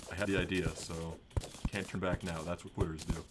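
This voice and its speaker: There is noticeable background noise behind the speaker. A man talks at a fairly quick pace. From Minnesota. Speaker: gaming streamer. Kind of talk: live gameplay commentary. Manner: casual, chatty. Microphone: new mic, audio issues.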